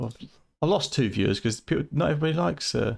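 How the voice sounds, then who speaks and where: A voice with vocal fry that swings very widely in pitch. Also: man. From eastern England, Fenland (Cambridgeshire). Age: 40s. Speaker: retro gaming streamer. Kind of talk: live stream chat. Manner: halting.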